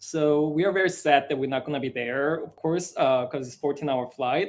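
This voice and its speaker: A man with a Korean accent speaks at a fairly high pitch with ordinary pitch variation. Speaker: musical theatre writer. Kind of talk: live Q&A chat. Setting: live broadcast. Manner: halting, many fillers.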